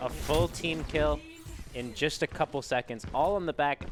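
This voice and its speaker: With music in the background, a man speaks in an American accent with ordinary pitch variation. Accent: Boston accent, comes through at times. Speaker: esports commentator. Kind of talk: live commentary. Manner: animated.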